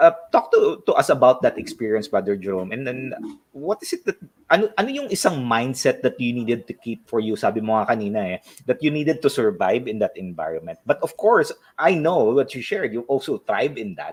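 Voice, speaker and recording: Fairly quick speech in a Filipino accent. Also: man. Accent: Filipino English with Tagalog code-switching. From Philippines. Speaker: life coach and show host. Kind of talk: interview.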